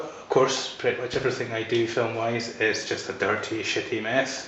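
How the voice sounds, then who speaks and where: With a Scottish accent, a man speaks at a moderate pace in a flat monotone, and noticeable background noise can be heard. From Scotland. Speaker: photographer. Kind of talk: casual talk to camera. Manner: hesitant, rambling.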